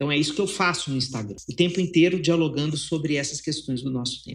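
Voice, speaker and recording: A man with lively intonation. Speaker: psychologist and writer. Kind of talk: interview conversation.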